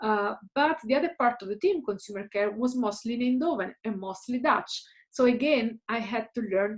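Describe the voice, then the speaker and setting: Speaking at a moderate pace, a woman has a fairly high pitch and ordinary pitch variation. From Italy, Caserta near Naples. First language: Italian. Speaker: career coach / guest speaker. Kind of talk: recorded talk to students. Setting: home office.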